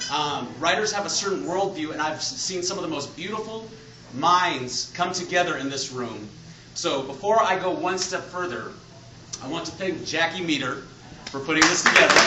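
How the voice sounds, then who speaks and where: Loud and high-pitched, a man speaks at a moderate pace with ordinary pitch variation, with noticeable background noise and audible room echo. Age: adult. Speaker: author. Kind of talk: lecture. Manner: loud, projecting.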